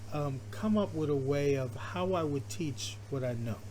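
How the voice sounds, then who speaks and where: The pace is fairly slow. Audible room echo is present. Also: man. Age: 60s. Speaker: artist and art teacher. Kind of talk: casual sketchbook walkthrough. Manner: halting, many fillers and repeats.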